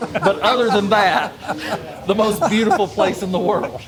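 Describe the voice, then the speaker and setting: At a moderate pace, a man speaks with a Southern US accent. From US South. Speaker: cigar enthusiast, podcast co-host. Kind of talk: casual chat. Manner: animated.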